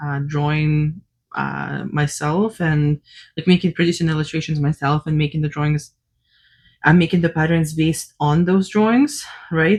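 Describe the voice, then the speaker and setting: A woman speaks at a moderate pace with fairly even intonation. Her voice is somewhat breathy and very deep and low in pitch. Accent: non-native. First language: not English. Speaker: cross-stitch designer and vlogger. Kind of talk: casual unscripted vlog chat. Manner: hesitant, many fillers.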